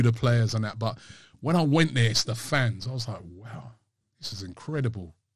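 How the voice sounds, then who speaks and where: The voice is somewhat breathy, with a London accent and ordinary pitch variation. The background is quiet. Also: man. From London, England. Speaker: football fan channel host. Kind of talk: casual chat.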